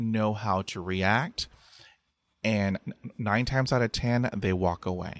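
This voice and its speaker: In a very clean recording with a silent background and a dry, close sound with no echo, a man with an American accent talks at a very slow pace with ordinary pitch variation. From Texas. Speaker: podcaster who stutters and public speaker. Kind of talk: casual interview chat. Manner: animated, humorous.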